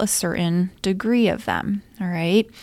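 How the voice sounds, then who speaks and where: A woman talks fairly slowly in an ordinary speaking voice, with normal movement in her pitch. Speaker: habit coach. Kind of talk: solo podcast teaching episode. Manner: friendly, explanatory.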